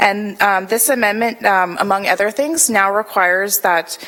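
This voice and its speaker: Over noticeable background noise, a woman speaks fairly quickly at medium pitch with ordinary pitch variation. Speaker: city planning staff presenter. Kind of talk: formal report presentation. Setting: council committee meeting. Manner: hesitant, many fillers. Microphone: too far from the mic.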